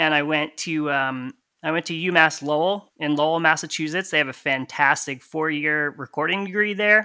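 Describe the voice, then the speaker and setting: Speaking with an American accent and hardly any pauses, a man with a fairly high pitch and a bright, sharp tone keeps fairly even intonation in a very clean recording with a silent background. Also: moderate pace. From Connecticut. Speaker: lathe cutting engineer and musician. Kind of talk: casual interview.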